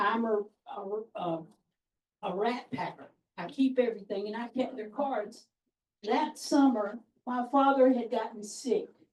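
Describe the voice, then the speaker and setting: A woman's fairly high voice in a South Carolina accent, at a fairly slow pace with ordinary pitch variation, big swings in loudness and long, frequent pauses. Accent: Southern US, upstate South Carolina. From upstate South Carolina, Anderson County. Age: 60s. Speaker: orientation participant. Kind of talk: self-introduction. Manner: folksy storytelling.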